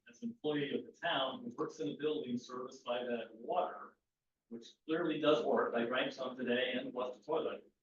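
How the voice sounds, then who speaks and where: A man with a fairly high pitch speaks at a fairly quick pace with lively intonation. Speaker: town employee speaking at public comment. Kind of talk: public meeting discussion. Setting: town meeting room with Zoom participants. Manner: loud, projecting. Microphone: far from the meeting mic, which picks up poorly.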